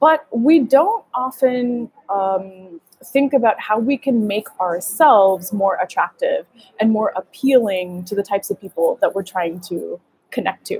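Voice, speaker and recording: A woman with a fairly high, somewhat breathy voice talks at a fairly slow pace with lively intonation, recorded with a dry, close sound and no echo. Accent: American. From US, Gujarati American family. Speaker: dating coach. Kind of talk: livestream masterclass. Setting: live video stream. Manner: energetic, animated.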